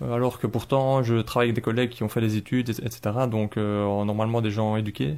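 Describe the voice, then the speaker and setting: Fairly even intonation marks this man's speech. He talks at a very fast pace. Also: medium pitch for a man. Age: 30s. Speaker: engineer, convert to Islam. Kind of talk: interview testimony. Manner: halting, many hesitations and repetitions.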